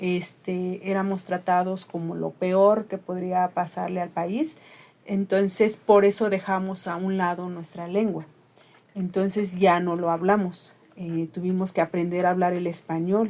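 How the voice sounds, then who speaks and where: Her medium-pitched voice runs at a fairly slow pace, as this woman speaks in a monotone, flat intonation. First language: Ayuuk (Mixe) (speaking Spanish). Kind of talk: interview conversation.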